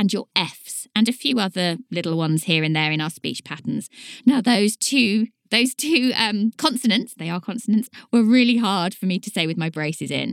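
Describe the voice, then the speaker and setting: Speaking in a Southern English accent, a woman uses a fairly high pitch and lively intonation, with big swings in loudness. The sound is dry and close, with no echo. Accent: southern English, slight t and d dropping. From southern England. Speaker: podcast host and author. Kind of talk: solo educational monologue.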